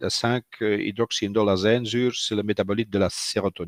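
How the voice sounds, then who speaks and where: Against a quiet background, a man with a Dutch accent talks at a moderate pace in a dry, close sound with no echo. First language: Dutch (speaking French). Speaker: physician. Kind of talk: lecture. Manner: hesitant, many fillers.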